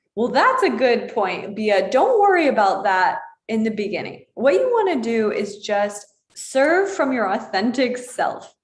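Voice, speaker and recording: Her fairly high voice carries lively intonation as this woman speaks amid audible room echo. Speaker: yoga teacher. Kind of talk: live stream chat with viewer comments. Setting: live online broadcast. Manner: fast.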